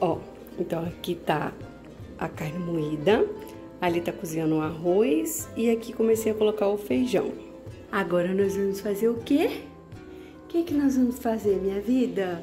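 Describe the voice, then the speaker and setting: A woman's fairly slow speech with faint music in the background. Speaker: mother vlogger. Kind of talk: casual vlog chat. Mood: warm, affectionate. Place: kitchen. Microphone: phone near.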